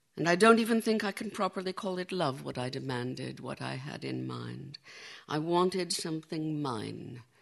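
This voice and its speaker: In a gentle tone and with an American accent, a woman speaks at a moderate pace in a very deep, low voice. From United States. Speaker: poet. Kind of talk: poetry reading at a festival. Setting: festival stage with audience. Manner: measured, gentle, lyrical, intimate.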